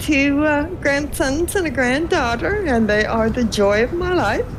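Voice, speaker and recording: A woman with a high pitch and very wide pitch swings talks at a fairly slow pace through noticeable background noise and audible room echo. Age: 60s. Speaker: gamer and base builder. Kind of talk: interview.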